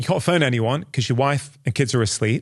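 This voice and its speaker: Against a quiet background, a man speaks very fast with a British accent. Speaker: doctor and podcast host. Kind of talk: interview conversation.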